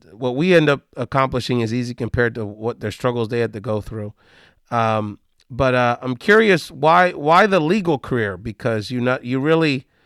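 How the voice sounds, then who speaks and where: This man has an ordinary speaking voice, with lively intonation at a moderate pace. The recording is very clean, silent behind him, and dry and close with no echo. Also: medium pitch for a man. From US mainland, Puerto Rican family. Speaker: podcast host. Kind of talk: interview.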